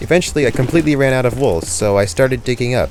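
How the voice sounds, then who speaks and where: A man talking at a very fast pace over music in the background. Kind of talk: gameplay commentary narration. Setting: home recording, air conditioner audible.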